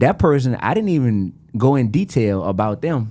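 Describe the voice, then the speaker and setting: A man with a New Orleans accent speaks in a dark, mellow tone. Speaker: rapper. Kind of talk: podcast interview. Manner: animated.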